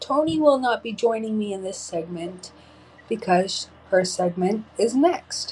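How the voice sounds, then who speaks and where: A woman speaks in a medium pitch, somewhat breathy, with lively intonation. Her loudness swings a lot. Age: 30s. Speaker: podcast host. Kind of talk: personal storytelling.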